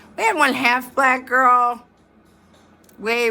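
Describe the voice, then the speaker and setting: A woman speaks in an animated tone with an American accent. Music plays in the background. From northeast Ohio, Youngstown area. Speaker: storytelling vlogger. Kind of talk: casual storytelling monologue. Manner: slurred, sounds drunk to some; rambling, animated.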